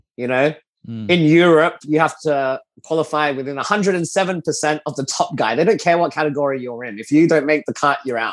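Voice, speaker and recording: A man with an Australian accent, fairly high pitch, ordinary pitch variation and a moderate pace. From Australia (Adelaide). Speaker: race car driver. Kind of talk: interview. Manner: animated.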